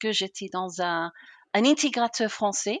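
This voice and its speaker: Over a quiet background, a woman with a British accent speaks at a fairly slow pace in a dry, close sound with no echo. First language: English (speaking French). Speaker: customer success consultant. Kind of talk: interview. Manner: enthusiastic.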